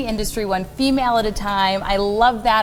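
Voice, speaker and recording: Noticeable background noise fills the recording. Over it, a woman speaks at a fairly quick pace. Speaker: TV reporter. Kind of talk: TV news interview.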